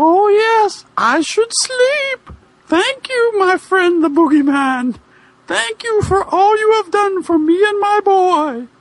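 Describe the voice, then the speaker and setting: In a put-on character voice, a man speaks fairly slowly in a squeaky, extremely high pitch. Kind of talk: comic amateur dramatic reading. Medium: read story.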